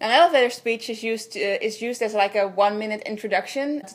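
Speaking with a Dutch accent, a woman has a fairly high pitch and ordinary pitch variation. Her pace is fairly quick. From Netherlands. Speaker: visual artist. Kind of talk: video blog. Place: home room.

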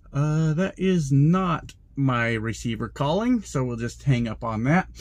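A somewhat breathy man against a quiet background. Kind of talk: casual vlog chat. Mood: annoyed, ranting. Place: car. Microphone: phone near.

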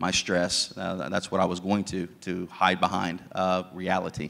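In an American accent, a man talks at a fairly slow pace, his very deep, low pitch held in a monotone, flat intonation. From southern Ohio, US. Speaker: ministry leader; guest. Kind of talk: testimony. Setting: church. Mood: earnest, reflective. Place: church. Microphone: handheld.

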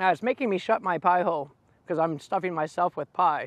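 In a high pitch with ordinary pitch variation, a man talks at a moderate pace, the sound dry with no echo. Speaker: food vlogger. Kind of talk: casual food review vlog chat. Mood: cheerful, playful. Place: open country. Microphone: lapel.

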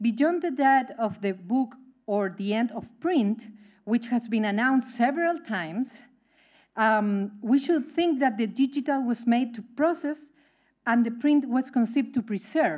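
In a Spanish accent, a woman speaks at a fairly slow pace with a high pitch against a quiet background. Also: lively intonation. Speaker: academic event moderator. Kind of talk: formal introduction. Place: hall.

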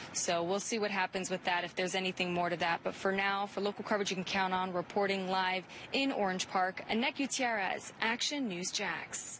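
With an ordinary speaking voice, a woman at medium pitch talks at a fairly quick pace with hardly any pauses, ordinary pitch variation and very even loudness. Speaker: field reporter. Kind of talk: live news report. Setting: outdoors on location. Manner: brisk, clear, professional.

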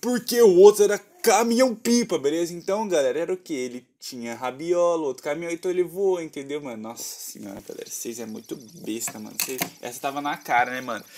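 The speaker talks at a fairly quick pace with very wide pitch swings and big swings in loudness. Noticeable background noise is present. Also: man, high pitch for a man. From Brazil. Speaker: gaming youtuber. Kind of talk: gameplay commentary. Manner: animated. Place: home room.

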